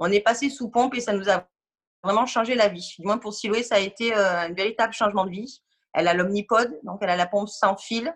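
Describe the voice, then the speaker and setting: A woman speaks at a fairly quick pace in a plain, everyday voice. Her pitch is medium, with ordinary pitch variation. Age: 30s. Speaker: parent of a diabetic child. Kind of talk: testimony.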